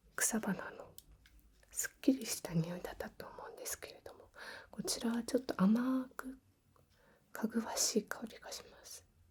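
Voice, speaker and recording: A soft-spoken woman talks in a calm tone at a moderate pace. Her loudness swings widely, and she leaves long, frequent pauses. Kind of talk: ASMR role-play, healing session. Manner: soft-spoken, calm.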